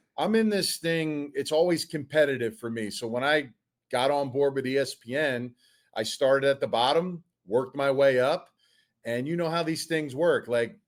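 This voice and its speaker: Recorded very cleanly against a silent background, a man with a Philadelphia accent talks at a moderate pace in a fairly high pitch with ordinary pitch variation. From Delaware County, Pennsylvania (Philadelphia area). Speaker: football coach and former NFL player. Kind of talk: casual interview.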